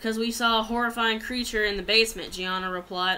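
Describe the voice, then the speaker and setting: A woman's bright, sharp tone with fairly even intonation. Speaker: amateur storyteller. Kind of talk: reading a story aloud. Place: home room. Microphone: webcam.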